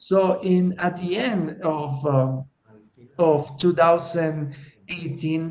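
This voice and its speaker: The talking is very slow and fairly even in intonation, in a Spanish accent. Background noise is noticeable. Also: man. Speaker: LGBT activist, NGO worker. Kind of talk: webinar presentation. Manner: halting.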